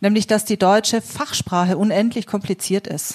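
This is an ordinary speaking voice. It moves at a moderate pace. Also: woman. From Swabia, Germany. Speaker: integration worker and city council candidate. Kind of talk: panel discussion.

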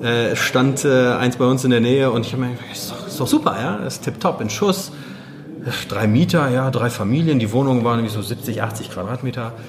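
With music in the background, a man speaks at a fairly quick pace. Audible room echo fills the recording. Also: medium pitch for a man, ordinary pitch variation. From Germany, Wuppertal (born in Poland, moved at six). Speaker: real estate investor. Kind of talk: interview. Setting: in person after a meetup.

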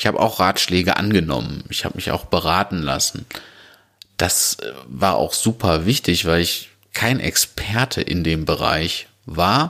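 Speaking at a fairly slow pace, a man uses a very deep, low pitch with vocal fry, a bright, sharp tone and lively intonation. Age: 30s. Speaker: podcast host and restaurant owner. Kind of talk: solo podcast monologue.

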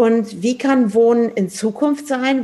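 Dark, mellow tone in a somewhat breathy female voice. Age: 50s. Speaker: podcast host and architect. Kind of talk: casual chat. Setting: in person, sitting face to face.

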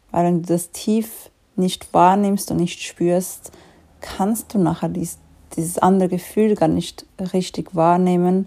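A woman speaks at a very slow pace in a monotone, flat delivery. Her voice is fairly low, with a dark, mellow tone. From Switzerland. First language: Swiss German (speaking German). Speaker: life coach. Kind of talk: solo podcast monologue.

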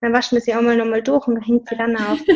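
A woman speaks with a slight Tyrolean accent. Her pitch is fairly high. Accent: slight Tyrolean Austrian. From Austria, Tyrol. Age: 20s. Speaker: personal trainer. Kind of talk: casual interview.

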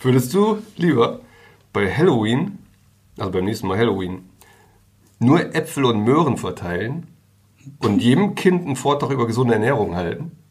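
With audible room echo, a man of medium pitch speaks at a moderate pace in a somewhat breathy voice, swinging very widely in pitch and leaving long, frequent pauses. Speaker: newspaper journalist and podcast co-host. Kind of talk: casual chat.

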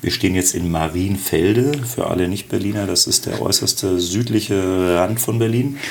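At a moderate pace with hardly any pauses, a man speaks in a very deep, low pitch with ordinary pitch variation. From Bavaria, Augsburg (raised on standard German). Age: 50s. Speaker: startup founder. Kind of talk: interview. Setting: office.

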